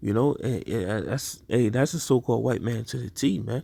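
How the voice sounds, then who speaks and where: A man's medium-pitched voice with a dark, mellow tone and vocal fry. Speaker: religious teacher. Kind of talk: sermon. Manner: stuttering.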